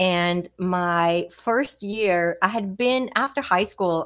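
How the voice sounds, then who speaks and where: In a very clean recording with a silent background, a woman with a Swedish accent speaks in a fairly low voice with ordinary pitch variation. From Sweden. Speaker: physician and psychic. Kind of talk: interview.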